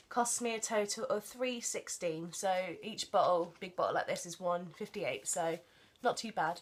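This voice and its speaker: With an English accent, a woman talks at a fairly slow pace and fairly high pitch with lively intonation, over noticeable background noise. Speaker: vlogger. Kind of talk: casual vlog haul.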